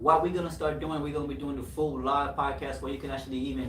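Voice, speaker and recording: With a Haitian accent, a man talks at a very fast pace with ordinary pitch variation. Audible room echo and noticeable background noise come through. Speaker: podcast host. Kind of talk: casual chat. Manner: animated.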